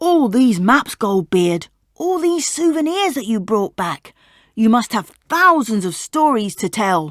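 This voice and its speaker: On a very clean recording with a silent background, a woman speaks fairly slowly in a put-on character voice at a fairly high pitch with very wide pitch swings. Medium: read story. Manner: friendly, polite.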